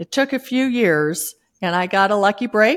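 This woman has an ordinary speaking voice with ordinary pitch variation and a moderate pace, captured in a very clean recording against a silent background. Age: 60s. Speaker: author and former savings expert entrepreneur. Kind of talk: casual interview.

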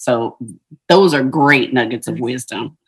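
A woman speaks in a very deep, low voice with an American accent. Her pace is moderate. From Ohio. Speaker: podcast host. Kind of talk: interview; scripted introduction.

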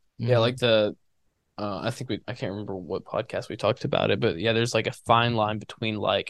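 Recorded very cleanly with a silent background and a dry, close sound with no echo, a man with an unremarkable speaking voice talks at a medium pitch with fairly even intonation. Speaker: college runner and podcast co-host. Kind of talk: casual chat.

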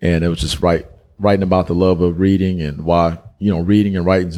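A man with an American accent, very deep and low in pitch, dark and mellow in tone, flat and monotone at a fairly quick pace. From US South, Dalton, northwest Georgia. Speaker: author. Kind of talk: casual interview. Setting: in person with host.

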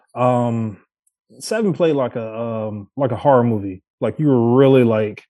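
Against a quiet background, a man with an unremarkable speaking voice talks at a medium pitch. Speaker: guest, gamer and friend of the show. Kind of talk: casual chat. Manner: relaxed, uses many fillers.

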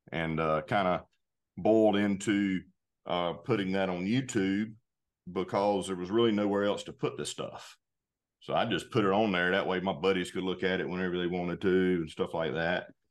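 Someone with a Southern US accent speaks at a moderate pace with fairly even intonation over a quiet background. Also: man, very deep, low pitch for a man. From US South, North Carolina. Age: 40s. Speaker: outdoor gear company spokesman. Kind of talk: casual interview.

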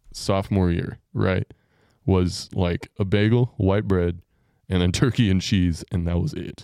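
With a Texan accent, a man talks fairly slowly at a fairly low pitch, his dark, mellow tone showing ordinary pitch variation in a dry, close sound with no echo. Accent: Texan American. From Texas, Amarillo. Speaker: podcast host. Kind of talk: casual chat.

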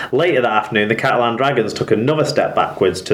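A man with an English accent and ordinary pitch variation, over noticeable background noise. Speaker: rugby league podcaster. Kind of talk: scripted sports news roundup.

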